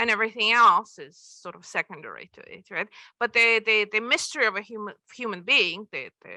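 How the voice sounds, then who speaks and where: In a Russian accent, a woman talks at a fairly quick pace in a fairly high voice with a bright, sharp tone. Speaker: author. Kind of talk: Q&A at book presentation. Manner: halting, many repetitions.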